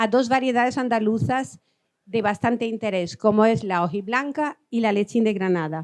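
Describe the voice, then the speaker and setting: A woman with a fairly high pitch is heard in a dry, close sound with no echo. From Albania. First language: Albanian (speaking Spanish). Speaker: agricultural researcher. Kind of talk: lecture. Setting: conference hall with audience. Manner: halting.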